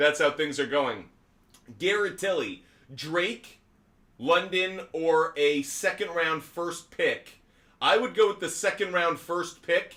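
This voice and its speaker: A man speaks loudly in a high voice with a bright, sharp tone. His pitch varies in an ordinary way, and his pace is very slow. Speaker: sports betting show host. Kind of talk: live stream sports talk. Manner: loud, projecting.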